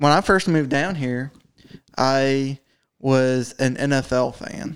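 A man speaks at a very slow pace in an American accent. His pitch sits at a medium level. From New Jersey, US. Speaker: podcast co-host. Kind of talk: casual chat. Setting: same room as co-host.

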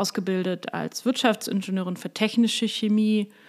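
With fairly even intonation, a woman speaks at a fairly quick pace. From Hamburg, northern Germany. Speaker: university president and professor. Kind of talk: interview. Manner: hesitant, many fillers.

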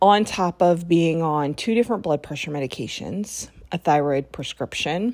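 On a very clean recording with a silent background, a woman speaks at a moderate pace in an unremarkable speaking voice. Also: fairly low pitch for a woman, ordinary pitch variation. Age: 40s. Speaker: podcast host. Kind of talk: personal monologue. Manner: casual, with fillers.

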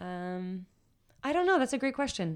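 A woman with an American accent on a very clean recording against a silent background. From Washington DC area. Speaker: spoken word poet. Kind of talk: interview.

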